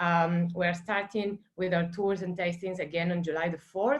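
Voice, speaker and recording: A woman's medium-pitched voice with an Argentine accent, at a moderate pace. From Argentina, Santa Fe. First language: Spanish. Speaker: wine estate manager. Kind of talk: virtual wine tasting. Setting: video call. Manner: casual, many fillers.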